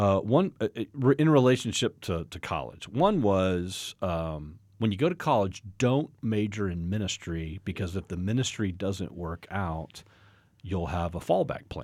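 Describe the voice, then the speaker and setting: In a plain, everyday voice, a man with an American accent talks at a fairly slow pace, his fairly low pitch carried by lively intonation, on a very clean recording with a silent background. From Texas, Fort Worth suburb. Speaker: pastor and ministry director. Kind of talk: testimony.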